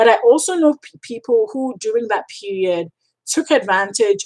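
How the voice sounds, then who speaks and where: In a Ghanaian accent, a woman speaks at a fairly slow pace with an animated tone and lively intonation. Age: 30s. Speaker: freelance writer and coach. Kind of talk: live stream Q&A. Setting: live stream. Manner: animated, emphatic, repetitive.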